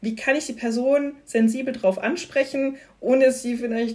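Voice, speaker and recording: The woman's tone is dark and mellow, and her pitch varies in an ordinary way. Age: 30s. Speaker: employee, member of a workplace LGBTQ+ community. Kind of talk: casual interview.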